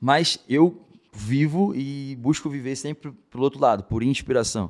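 A man with a strong carioca accent, medium pitch, ordinary pitch variation, and a fairly slow pace, on a very clean recording with a silent background. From Rio de Janeiro, Brazil. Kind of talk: casual interview testimony.

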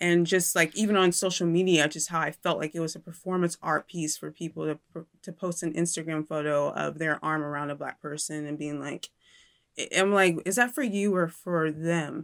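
With an American accent, a woman with an ordinary speaking voice talks at a moderate pace and a fairly low pitch, in a dry, close sound with no echo. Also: fairly even intonation, very clean recording, silent background. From Indiana, US. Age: 30s. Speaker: independent journalist and YouTube host. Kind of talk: interview conversation.

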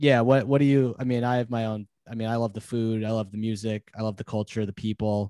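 A man speaks at a fairly quick pace in a fairly low, dark, mellow voice with monotone, flat intonation, recorded dry and close with no echo on a very clean track with a silent background. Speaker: alumni podcast host. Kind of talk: casual interview. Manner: halting, many fillers.

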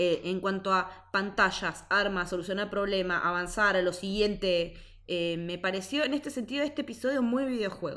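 A woman speaks at a moderate pace with hardly any pauses. Her voice sits at a medium pitch and has a bright, sharp tone. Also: ordinary pitch variation. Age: 30s. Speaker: podcast co-host. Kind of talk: casual chat.

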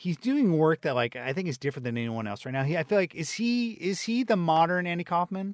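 A man mumbles at a very fast pace with hardly any pauses, his high pitch swinging very widely. The sound is dry and close, with no echo. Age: 40s. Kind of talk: casual chat. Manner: fast talker, mumbles.

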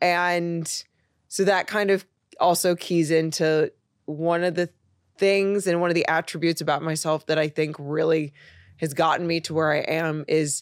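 A woman speaks in a plain, everyday voice with a fairly low pitch and fairly even intonation. The recording is very clean, with a silent background. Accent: American. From US Midwest, Chicago. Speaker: content creator, former fashion designer. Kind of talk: casual interview chat.

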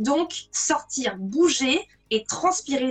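With lively intonation, a woman talks in a high-pitched voice. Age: 40s. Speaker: wellbeing blogger and author. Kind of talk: casual interview on a live video stream. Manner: casual, slangy.

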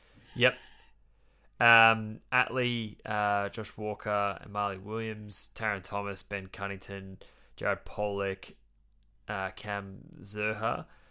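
A man with an Australian accent speaks at a fairly low pitch in a bright, sharp tone, with monotone, flat intonation and big swings in loudness. His pace is very slow with long, frequent pauses, in a very clean recording with a silent background. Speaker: AFL podcast host. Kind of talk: casual chat.

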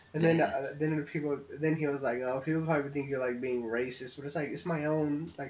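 Over noticeable background noise, a man talks in a fairly high pitch with monotone, flat intonation and hardly any pauses. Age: 20s. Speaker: podcast co-host. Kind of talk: casual chat.

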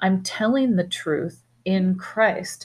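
In a very clean recording with a silent background, a woman speaks at medium pitch. Her voice is somewhat breathy and her pace very slow. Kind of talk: Bible teaching discussion, scripture reading.

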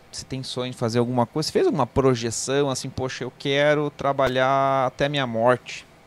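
Monotone and flat in intonation, a man with a medium pitch speaks at a fairly quick pace. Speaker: co-host. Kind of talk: casual chat.

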